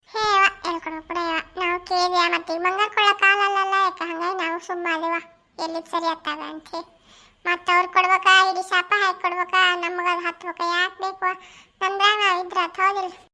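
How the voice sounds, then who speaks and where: In a put-on character voice, a woman speaks at an extremely high pitch with monotone, flat intonation. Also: moderate pace. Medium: solo performance. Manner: chatty, rambling.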